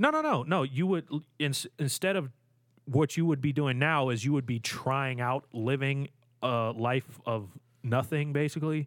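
This man has a plain, everyday voice, fairly high in pitch, with ordinary pitch variation at a moderate pace in a dry, close sound with no echo. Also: very even loudness. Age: 20s. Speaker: podcast co-host. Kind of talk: casual chat.

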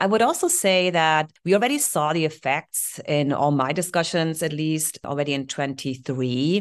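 A woman with a German accent, ordinary pitch variation, a moderate pace and hardly any pauses. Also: quiet background. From Germany (Heidelberg). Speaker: solar software sales executive. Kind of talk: interview.

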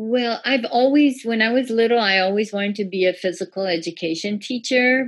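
A woman's normal speaking voice with an American accent, fairly high in pitch with ordinary variation, at a fairly quick pace with hardly any pauses. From Iran, then US from age 11. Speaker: breathwork and bodywork practitioner. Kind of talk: casual interview.

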